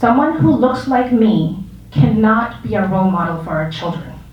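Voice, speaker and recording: A woman speaks with very wide pitch swings. Noticeable background noise and audible room echo are present. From Arizona, US. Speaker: community leader and school board candidate. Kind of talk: public talk at exhibit.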